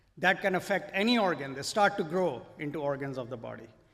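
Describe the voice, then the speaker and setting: Audible room echo surrounds a man talking at a moderate pace, his fairly high pitch showing ordinary variation. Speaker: physician. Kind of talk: lecture.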